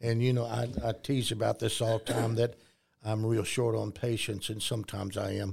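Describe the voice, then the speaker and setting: In a West Texas accent, a man speaks at a moderate pace with a somewhat breathy voice and flat, monotone intonation. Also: medium pitch for a man. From Texas, near Lubbock. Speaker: Sunday school teacher and Vietnam veteran. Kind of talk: interview. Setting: studio.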